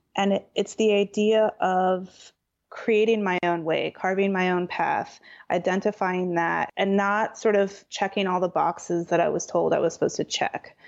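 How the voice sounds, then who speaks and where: A woman speaks with an American accent in a flat monotone. Her loudness stays very even. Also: medium pitch for a woman, moderate pace. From Southern California. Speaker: interior designer. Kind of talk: interview conversation.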